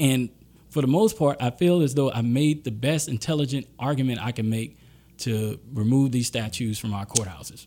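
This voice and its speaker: On a very clean recording with a silent background, a man with a Southern US accent talks at a moderate pace and medium pitch, using a dark, mellow tone and ordinary pitch variation. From Louisiana and Mississippi Gulf Coast. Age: 30s. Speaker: attorney. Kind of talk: interview.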